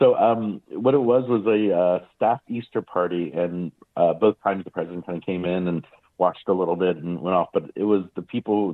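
A man with an American accent and an unremarkable speaking voice, fairly low in pitch, with ordinary pitch variation. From Maryland, US. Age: 50s. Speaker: magician. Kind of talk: interview.

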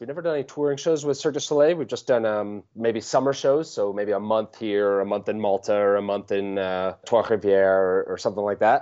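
A man speaks at a fairly quick pace in an ordinary speaking voice. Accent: American. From Vermont, US Northeast. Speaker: juggler and circus performer. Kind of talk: interview conversation.

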